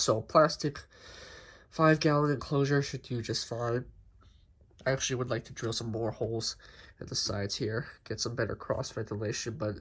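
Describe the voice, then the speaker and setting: A somewhat breathy man's voice at medium pitch, ordinary in its pitch variation, delivered at a moderate pace. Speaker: tarantula keeper. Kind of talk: casual talk to camera.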